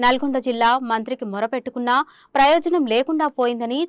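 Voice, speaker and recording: The sound is dry and close with no echo, and the recording is very clean over a silent background. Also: woman. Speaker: news reporter. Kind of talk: TV news narration.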